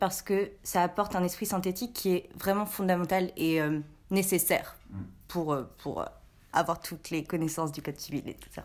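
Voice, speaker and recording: In a very clean recording with a silent background, a woman talks in an unremarkable speaking voice at medium pitch, with ordinary pitch variation and a moderate pace. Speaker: student. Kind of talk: casual debate.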